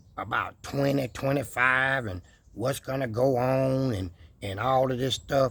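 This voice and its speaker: At a fairly slow pace, a man talks in an animated tone at medium pitch, with ordinary pitch variation. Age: 60s. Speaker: YouTuber, homesteader. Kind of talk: casual vlog monologue. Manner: animated, preachy.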